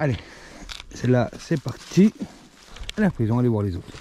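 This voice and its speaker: A man talks very fast at a medium pitch. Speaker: outdoor vlogger. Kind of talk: casual vlog narration. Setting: outdoors in snowy woods.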